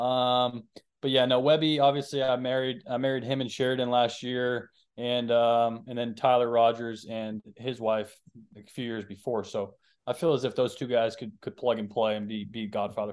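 With a normal speaking voice, a man talks at a moderate pace in a medium pitch with fairly even intonation. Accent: American. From Boston, US. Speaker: pro baseball pitcher. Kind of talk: casual chat.

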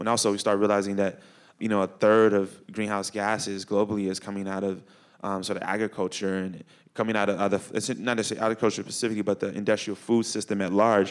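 A man with a Chicago accent talks at a very fast pace. The recording is very clean, with a silent background. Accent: Chicago American. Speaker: climate educator and artist. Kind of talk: panel discussion. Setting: stage with audience at a high school. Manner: animated.

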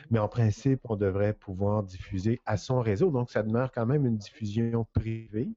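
Using a plain, everyday voice, a man at a medium pitch talks at a moderate pace with very even loudness, fairly even intonation and hardly any pauses. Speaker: digital communication consultant. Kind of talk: casual chat.

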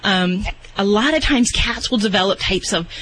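A woman's fairly quick speech comes through with noticeable noise in the background. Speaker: veterinarian. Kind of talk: radio call-in advice.

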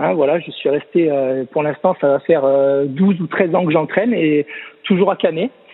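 Noticeable background noise sits behind speech that keeps a moderate pace and shows ordinary pitch variation. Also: man, fairly high pitch for a man. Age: 30s. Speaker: swimming coach. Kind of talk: casual interview. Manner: halting, many repetitions.

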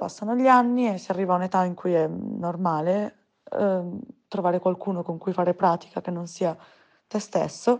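A woman with an unremarkable speaking voice talks at a medium pitch with ordinary pitch variation against a quiet background. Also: moderate pace. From provincial Italy. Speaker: listener sharing personal story. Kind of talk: testimony.

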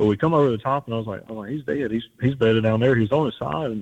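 Fairly even in intonation, a man's voice holds a medium pitch. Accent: South Louisiana. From South Louisiana. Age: 20s. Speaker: hunter, podcast listener. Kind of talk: casual interview.

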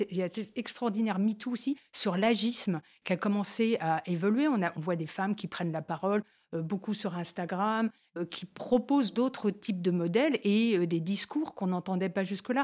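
In a very clean recording with a silent background, a woman with an unremarkable speaking voice talks at a moderate pace and medium pitch, her pitch varying in an ordinary way. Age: 60s. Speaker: media founder. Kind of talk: casual chat. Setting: studio.

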